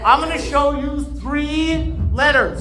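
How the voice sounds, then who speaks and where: A man speaks at a fairly slow pace while noticeable background noise fills the recording. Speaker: professional speaker and entertainer. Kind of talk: conference talk to a live audience. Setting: live event stage.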